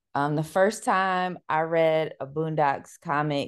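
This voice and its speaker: A woman's very deep, low voice with an American accent and fairly even intonation, against a quiet background. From US Midwest, Cleveland, Ohio. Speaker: librarian and educator. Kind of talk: interview.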